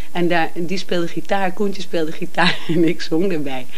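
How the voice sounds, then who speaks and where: Here a woman speaks at a moderate pace. Her pitch sits fairly low. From Amsterdam, Netherlands. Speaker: singer and cabaret performer. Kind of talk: interview. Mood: warm, laughing at times. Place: home room. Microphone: handheld.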